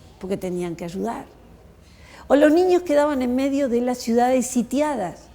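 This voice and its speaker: Background noise is clearly present. The speaker's intonation is lively. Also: woman. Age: 60s. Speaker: historian. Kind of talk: talk to schoolchildren. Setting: school.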